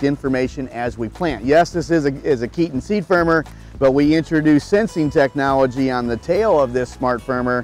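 This man's voice sounds dry, with no echo. His pitch varies in an ordinary way over faint background music. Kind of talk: product explanation interview. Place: open country. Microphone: lapel.

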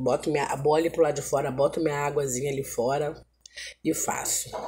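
A woman with a dark, mellow tone and a somewhat breathy voice talks at a fairly quick pace over light background noise. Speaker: home vlogger. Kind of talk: casual vlog chat. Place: home room. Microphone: phone near.

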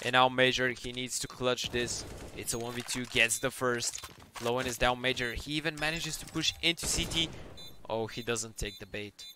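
Medium-pitched male voice at a moderate pace, with noticeable background noise. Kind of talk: live esports commentary. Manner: excitable, rising in tension on clutch moments.

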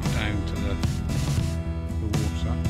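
A man talks at a moderate pace. Loud music fills the background. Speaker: outdoor vlogger. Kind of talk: casual vlog chat. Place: open country. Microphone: phone near.

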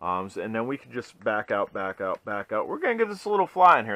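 Against a quiet background, a man is speaking. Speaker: RC hobbyist reviewer. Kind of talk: tutorial. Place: home room. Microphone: helmet.

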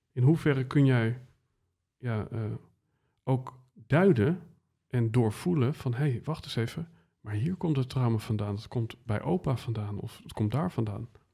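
A somewhat breathy, dark, mellow voice moves at a fairly slow pace with long, frequent pauses. The background is quiet. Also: man, ordinary pitch variation. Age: 30s. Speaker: podcast host. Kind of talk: interview conversation. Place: studio. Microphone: studio mic.

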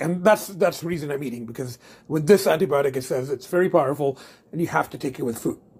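A put-on character voice races along at a very fast pace. It sounds raspy, with ordinary pitch variation. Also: man, fairly high pitch for a man. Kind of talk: casual vlog chat. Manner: mouth full, chewing.

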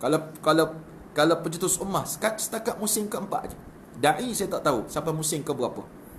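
Over light background noise, a man talks at a fairly quick pace in a high voice, with lively intonation and big swings in loudness. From Malaysia. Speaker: religious preacher. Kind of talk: live-stream talk. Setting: live stream. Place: home room. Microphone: phone near.

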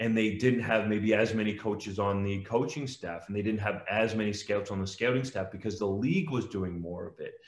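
Against a quiet background with audible room echo, a man with an Ontario accent talks at a fairly quick pace in a fairly low voice, with hardly any pauses. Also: fairly even intonation. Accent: Canadian (Ontario). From Ontario, Canada (Guelph). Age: 30s. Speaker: sports journalist. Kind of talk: interview. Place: home room. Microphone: video call.

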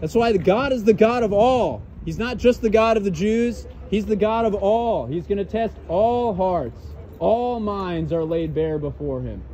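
A loud man with a high pitch speaks at a fairly slow pace and ordinary pitch variation. Light background noise can be heard. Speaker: street preacher. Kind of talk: sermon. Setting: outdoors. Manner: loud, urgent, exhorting passers-by; repetitive, emphatic, fervent. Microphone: phone near.

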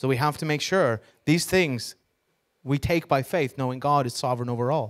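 Over a quiet background, a man with an American accent speaks at a fairly high pitch with ordinary pitch variation. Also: moderate pace. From New York. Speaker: preacher. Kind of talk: sermon. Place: church. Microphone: handheld.

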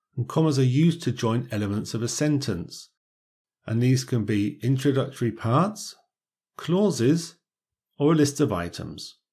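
Somewhat breathy and dark, mellow in tone, a man speaks at a moderate pace with lively intonation and long, frequent pauses in a very clean recording with a silent background. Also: medium pitch for a man. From Britain. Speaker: English teacher. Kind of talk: tutorial. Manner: clear, measured.

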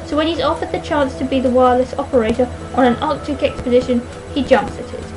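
A woman mumbling at a very fast pace, music in the background. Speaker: book reviewer. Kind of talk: reading book blurb aloud. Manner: mumbles in parts. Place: home room. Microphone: webcam.

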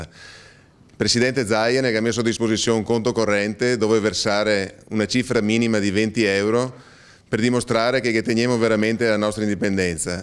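Speaking with a Venetian accent, a man talks at a fairly quick pace with fairly even intonation. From Veneto, Italy. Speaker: politician. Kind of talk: political appeal. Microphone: handheld.

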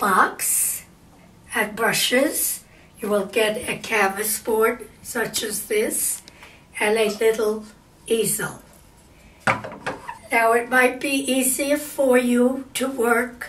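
Speaking at a very slow pace with fairly even intonation, a woman is heard over light background noise. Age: 80s+. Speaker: amateur painter. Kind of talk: painting tutorial talk to camera. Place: home room.

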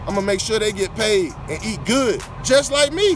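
Music plays clearly behind a man who is speaking. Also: dry sound with no echo. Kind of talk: casual vlog chat. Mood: frustrated but upbeat. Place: open country. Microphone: headset.

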